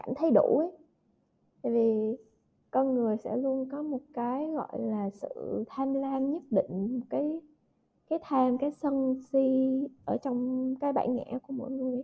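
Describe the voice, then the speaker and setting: A woman with a high voice and ordinary pitch variation talks at a very slow pace. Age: 20s. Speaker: podcast host. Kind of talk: casual chat.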